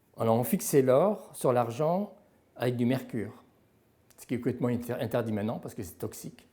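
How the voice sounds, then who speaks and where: Speaking at a fairly slow pace, a man uses lively intonation at a medium pitch with a dark, mellow tone. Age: 70s. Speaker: silverware expert. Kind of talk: interview answer.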